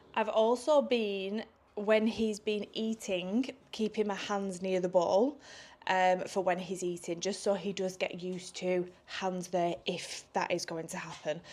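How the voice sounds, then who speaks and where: Someone speaks with an English accent and fairly even intonation. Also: woman. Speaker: vlogger. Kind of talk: casual vlog talk.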